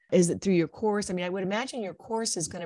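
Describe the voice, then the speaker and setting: A woman with an American accent speaks at a fairly low pitch. The sound is dry and close with no echo, over a quiet background. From Ohio. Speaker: podcast host. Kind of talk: interview. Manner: animated.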